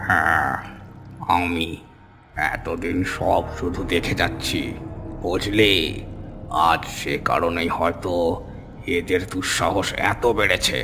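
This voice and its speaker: A man talks very slowly in a cartoonish character voice with a very deep, low pitch. Background noise is clearly audible. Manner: gruff, rustic, familiar.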